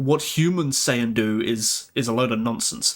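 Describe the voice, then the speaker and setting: A man with an English accent speaks at a moderate pace, his pitch varying in an ordinary way. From England. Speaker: live streamer. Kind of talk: casual live stream chat. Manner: halting, many repeated words.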